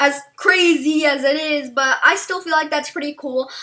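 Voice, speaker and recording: A woman's extremely high, raised, projected voice, bright, sharp and animated, at a moderate pace. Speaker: gaming YouTuber. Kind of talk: video game review. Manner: loud.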